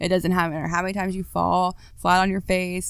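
Her voice sits at a medium pitch as the woman talks at a fairly quick pace. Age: 30s. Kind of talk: testimony. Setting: studio.

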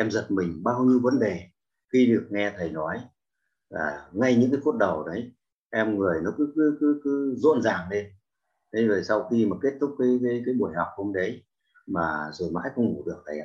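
A man talks in a plain, everyday voice at a medium pitch and a moderate pace. His intonation is lively. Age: 60s. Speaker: class participant. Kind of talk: testimony. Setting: online video call class.

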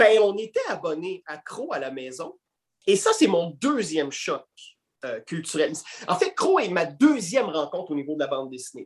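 His loudness rises and falls in big swings. The man keeps a moderate pace. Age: 40s. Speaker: comic book columnist and actor. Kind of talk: casual interview.

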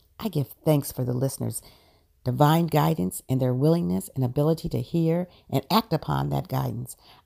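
A woman speaks at a moderate pace in a very deep, low pitch. Her tone is dark and mellow, with very wide pitch swings. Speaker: prayer circle lead. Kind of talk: guided prayer (spiritual mind treatment). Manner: measured, affirming, solemn cadence.

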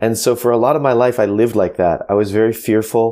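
Very fast speech in a dark, mellow tone with fairly even intonation. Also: man. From United States. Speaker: author and former pastor, marketing entrepreneur. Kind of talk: interview. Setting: home office, remote call.

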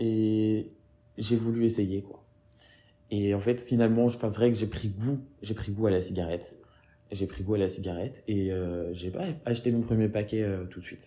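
Long, frequent pauses break up a man's fairly low, dark and mellow voice, which holds fairly even intonation at a moderate pace. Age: 20s. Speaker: interviewee, smoker. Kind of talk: interview testimony. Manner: halting, many repetitions.

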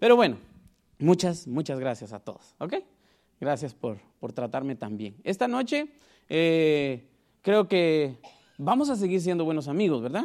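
Very clean recording with a silent background, a man with a Guatemalan accent, fairly high in pitch, fairly slow, with long, frequent pauses and very wide pitch swings. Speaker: preacher. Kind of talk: sermon. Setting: church.

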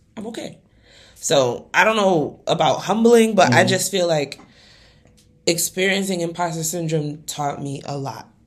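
A woman with an American accent has an unremarkable speaking voice, fairly low in pitch with ordinary pitch variation, a moderate pace and big swings in loudness. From US, Nigerian family. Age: 20s. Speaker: podcast co-host. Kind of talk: casual chat.

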